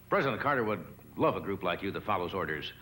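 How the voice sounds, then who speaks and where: A man speaks fairly quickly while noticeable background noise runs underneath. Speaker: talk show host. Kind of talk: comedy monologue. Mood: dry, playful. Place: stage.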